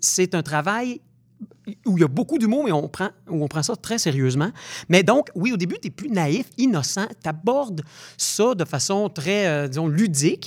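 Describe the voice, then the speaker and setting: On a very clean recording with a silent background, a man with a high pitch and very wide pitch swings speaks at a fairly slow pace. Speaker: actor and stage director. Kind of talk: interview. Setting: studio.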